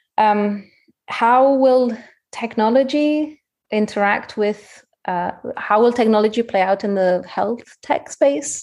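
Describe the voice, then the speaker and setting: With a non-native accent, a woman speaks very slowly, her pitch varying in an ordinary way. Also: fairly high pitch for a woman. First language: not English. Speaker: head of product at a mental health tech startup, qualified counselor. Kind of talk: interview. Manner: hesitant, many fillers.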